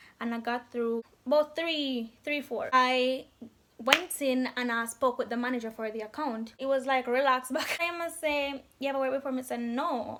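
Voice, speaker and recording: Over noticeable background noise, a woman with a Jamaican accent talks at a moderate pace in a high pitch, her intonation fairly even. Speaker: call centre agent. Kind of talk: casual talk to camera. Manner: chatty, storytelling.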